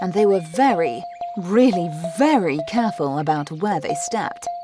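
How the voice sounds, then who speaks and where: With music in the background, a woman speaks at a moderate pace, her pitch swinging very widely. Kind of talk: sleep story.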